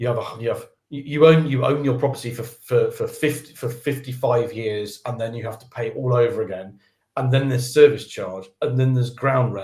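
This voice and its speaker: Somewhat breathy and at a fairly quick pace, a man talks at medium pitch with fairly even intonation but big swings in loudness. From England, Birmingham and London. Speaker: developer advocate. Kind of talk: casual interview chat. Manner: halting, many repetitions.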